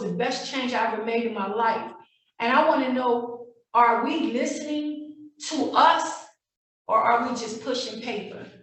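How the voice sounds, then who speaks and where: Audible room echo surrounds a woman with a high pitch. She speaks at a fairly slow pace with fairly even intonation. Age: 50s. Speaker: incarcerated individual giving testimony. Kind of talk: testimony. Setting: video call.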